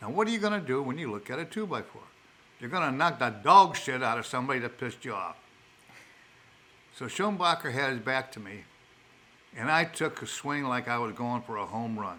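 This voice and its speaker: A man's bright, sharp, medium-pitched voice with a Chicago accent, very wide pitch swings, a fairly quick pace, and long, frequent pauses. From Chicago, South Side. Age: old. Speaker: elderly father telling life stories. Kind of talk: storytelling in casual chat. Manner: halting, with repeated words.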